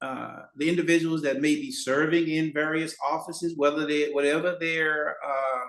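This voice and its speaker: A man talks in a plain, everyday voice with an American accent. His pitch is fairly high, his intonation fairly even, and his pace moderate. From Houston, Texas. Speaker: political candidate, retired educator. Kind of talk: casual chat.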